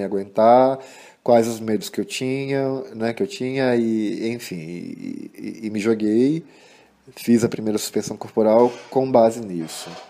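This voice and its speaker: Speaking at a fairly slow pace, a man uses fairly even intonation and has a dark, mellow tone. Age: 30s. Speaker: body suspension practitioner and artist. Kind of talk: recorded interview answers to read-out questions. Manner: halting, many fillers.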